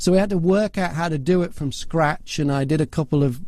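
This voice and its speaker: A man with an English accent talks at a fairly quick pace in a dark, mellow tone with ordinary pitch variation. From northwest England, near Liverpool. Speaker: voiceover artist and broadcaster. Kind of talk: interview storytelling.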